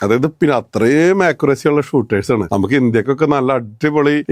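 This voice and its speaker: A man's fairly high voice, an ordinary speaking voice, with very even loudness and a dry, close sound with no echo. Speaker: vlogger and sport shooter. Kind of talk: casual explainer to camera.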